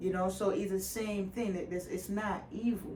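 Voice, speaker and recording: A woman speaks in an animated tone at a medium pitch. The room echo is audible, and background noise is noticeable. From Ghana. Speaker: Reiki healer. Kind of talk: casual chat. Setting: Reiki room in her apartment.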